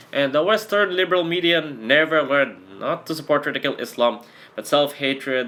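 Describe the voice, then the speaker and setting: A man's voice with lively intonation over noticeable background noise. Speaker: blogger and political commentator. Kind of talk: political rant. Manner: animated.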